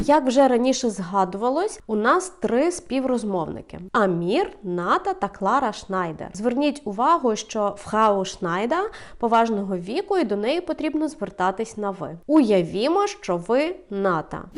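A woman's fairly high voice at a fairly slow pace, with very wide pitch swings, hardly any pauses and a quiet background. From Ukraine. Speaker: language teacher. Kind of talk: tutorial.

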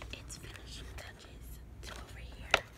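A woman is whispering at a moderate pace. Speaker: vlogger. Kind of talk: ASMR. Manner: whispered. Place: home room. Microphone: phone near.

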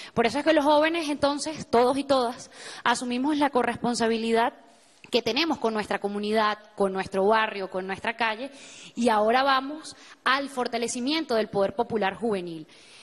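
A woman's plain, everyday voice, fairly high in pitch, with ordinary pitch variation at a moderate pace. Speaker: youth organizer. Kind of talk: TV interview. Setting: TV studio.

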